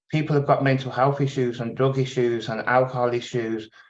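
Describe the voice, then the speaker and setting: Speaking in a Birmingham accent, a man keeps a monotone, flat intonation at a medium pitch and a moderate pace. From England, Birmingham. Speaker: tenant organisation chair. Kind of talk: webinar talk. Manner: hesitant, many fillers.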